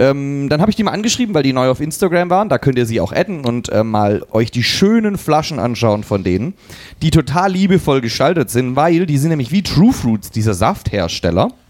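Very wide pitch swings run through a man's fairly high voice as he talks at a fairly quick pace. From eastern Germany. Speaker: football podcast co-host. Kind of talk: casual chat.

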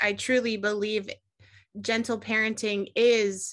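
With a plain, everyday voice, a woman speaks at a medium pitch and fairly even intonation over a quiet background. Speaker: podcast host. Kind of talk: podcast interview intro and chat.

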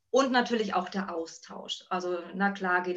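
A woman speaks over noticeable background noise. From northern Germany (Buxtehude, near Hamburg). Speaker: working mother, office worker. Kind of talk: casual interview. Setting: video call. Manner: hesitant, many filler sounds.

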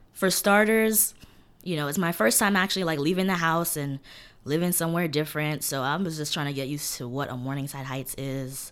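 A woman's very deep, low voice with a New York accent, ordinary pitch variation and a fairly quick pace. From New York City, East New York, Brooklyn. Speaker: college student. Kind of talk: casual chat.

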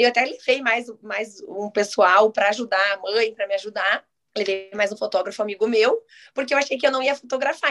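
Music plays in the background as a woman speaks at a very fast pace. Her pitch is fairly high. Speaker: photographer. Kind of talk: casual chat.

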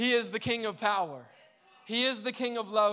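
A man speaks in a raised, projected voice. His tone is bright and sharp, with a high pitch. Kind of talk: sermon. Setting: church with congregation. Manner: animated, call-and-response, urging the congregation to shout and praise.

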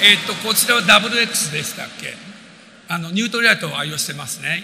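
Against noticeable background noise, a man talks at a very fast pace. His intonation is lively. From Japan. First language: Japanese (speaking Portuguese). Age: 60s. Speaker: business motivational speaker and composer. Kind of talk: motivational talk.

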